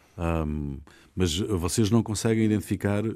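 Recorded very cleanly over a silent background, a man speaks in a dark, mellow tone. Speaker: radio host. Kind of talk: radio discussion moderation.

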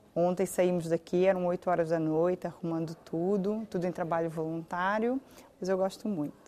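Her dark, mellow tone sits at a fairly low pitch as this woman speaks at a moderate pace with fairly even intonation. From Portugal, Algarve. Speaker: lawyer and community association president. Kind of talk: interview.

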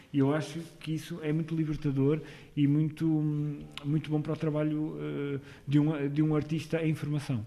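With long, frequent pauses, a man speaks at a moderate pace in a dark, mellow tone, his fairly high pitch held in a monotone, flat intonation. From northern Portugal, Porto/Amarante. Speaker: actor and theatre director. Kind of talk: radio interview.

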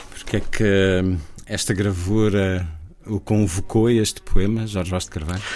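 With a European Portuguese accent, the speaker moves at a fairly slow pace in a monotone, flat intonation. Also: man, fairly low pitch for a man. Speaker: radio host. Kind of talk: radio interview.

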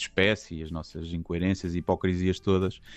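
Someone talks at a very fast pace against a quiet background. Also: man. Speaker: comedian. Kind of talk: radio interview. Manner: reserved.

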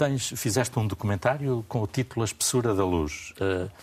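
A man with an unremarkable speaking voice, medium in pitch, at a moderate pace with ordinary pitch variation, on a very clean recording with a silent background. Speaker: journalist and radio/TV debate host. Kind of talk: moderated panel discussion. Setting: studio.

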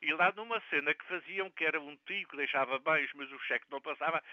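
Pitched fairly high with ordinary variation, the man has an ordinary speaking voice. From Azores, Terceira island. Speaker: community radio correspondent. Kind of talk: casual chat.

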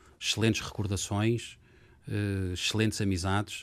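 Monotone, flat speech from a man with a very deep, low pitch at a moderate pace, on a very clean recording with a silent background. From Portugal, Lisbon. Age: 50s. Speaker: lawyer and former government official. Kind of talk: interview.

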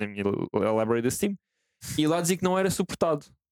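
With a plain, everyday voice, a man talks at a moderate pace and with lively intonation, the sound dry and close with no echo. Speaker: gaming content team member. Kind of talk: casual chat.

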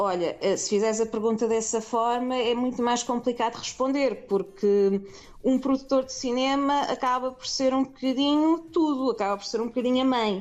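Her pitch sits high, with ordinary variation. The woman talks at a moderate pace. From Portugal, Lisbon. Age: 30s. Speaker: film producer. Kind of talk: interview.

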